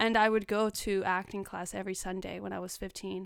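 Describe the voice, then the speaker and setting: A woman with a Spanish accent, medium-pitched, at a moderate pace and fairly even intonation, on a very clean recording with a silent background. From Los Angeles (South Central), born in Mexico. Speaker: actress. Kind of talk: casual interview chat.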